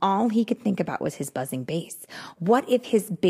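Lively intonation throughout plain reading aloud

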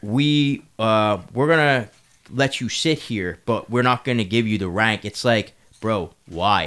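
In a very clean recording with a silent background, a man speaks very slowly at medium pitch with ordinary variation. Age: 30s. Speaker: podcast co-host. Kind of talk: casual chat.

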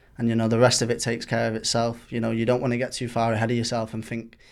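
A man speaks at a very fast pace. His intonation is flat and monotone. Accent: Mancunian. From Manchester, England. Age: 20s. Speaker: professional footballer. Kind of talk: interview. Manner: halting, repeats words.

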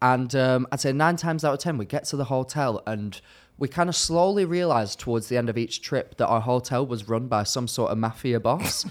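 A man with a British accent, medium pitch and ordinary pitch variation at a fairly quick pace, in a very clean recording with a silent background. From UK. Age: 20s. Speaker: social media content creator. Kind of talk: casual chat. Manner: animated.

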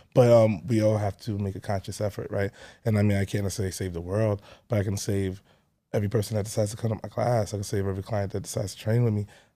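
A man with a Brooklyn accent talks at a very fast pace in a dark, mellow tone, fairly low in pitch and monotone, with flat intonation. The recording is very clean with a silent background. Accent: New York (Brooklyn). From Brooklyn, New York City (Canarsie). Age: 30s. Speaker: personal trainer. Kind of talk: casual chat.

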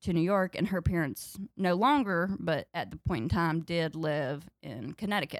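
Speaking at a moderate pace with a Southern US accent, a woman uses a fairly low pitch and ordinary pitch variation, recorded very cleanly against a silent background with a dry, close sound and no echo. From North Carolina, US South. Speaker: comedian. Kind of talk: casual chat.

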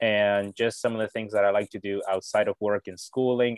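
Over a quiet background, a man with a fairly low pitch is heard in a dry, close sound with no echo. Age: 20s. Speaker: college student and convert to Catholicism. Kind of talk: interview about personal conversion story. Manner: halting, with frequent repetitions and fillers.

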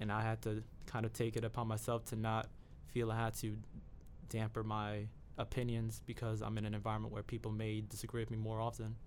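At a fairly quick pace, a man with an American accent speaks in a fairly low pitch with monotone, flat intonation. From New York (the Bronx). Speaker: university student, journalism major. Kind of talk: interview conversation.

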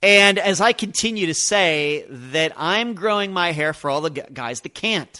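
A loud man with an American accent, high-pitched, bright and sharp in tone, lively in intonation, at a fairly slow pace with hardly any pauses, over a quiet background. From Pennsylvania. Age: 50s. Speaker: true crime podcast host. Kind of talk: podcast Q and A monologue. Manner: loud, voice carries.

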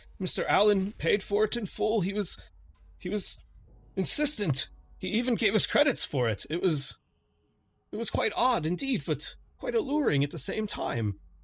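In a very clean recording with a silent background, a man does a shaky put-on character voice, pitched high with very wide swings, at a moderate pace. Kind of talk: 1920s formal speech. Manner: weak, shaky, remorseful, confessional.

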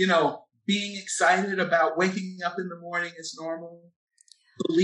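A man's high-pitched voice with an American accent, bright and sharp in tone, at a moderate pace with monotone, flat intonation. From Philadelphia, Pennsylvania. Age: 40s. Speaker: epidemiologist and activist. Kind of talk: casual chat. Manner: reflective, uses many filler words.

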